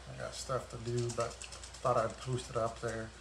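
A man is recorded with audible room echo and light background noise. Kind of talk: casual live-stream chat. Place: garage. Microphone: phone near.

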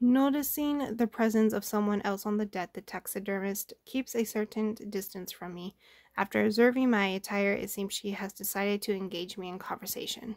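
Against a quiet background, a woman mumbles at a medium pitch with fairly even intonation and hardly any pauses. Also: moderate pace. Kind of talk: reading a game story aloud. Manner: mumbling. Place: home room. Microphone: phone near.

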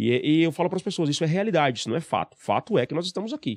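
Over a quiet background, a man talks very fast with lively intonation in a dry sound with no echo. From Brazil, Mauá, Greater São Paulo; São Paulo, Brazil. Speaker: sales trainer; podcast guest, sales trainer. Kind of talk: interview. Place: studio. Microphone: studio mic.

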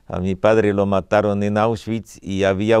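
The delivery is monotone and flat at a fairly slow pace, with a dry sound that has no echo and a quiet background. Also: man. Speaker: painter and visual artist. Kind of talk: interview. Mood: reflective, calm. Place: studio.

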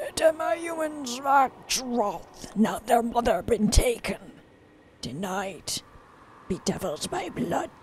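A put-on character voice, fairly high in pitch, at a fairly slow pace with long, frequent pauses. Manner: ghostly.

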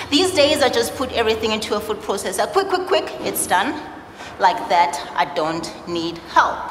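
A woman speaks at a moderate pace. Audible room echo and light background noise are present. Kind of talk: spoken-word stage monologue. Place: stage.

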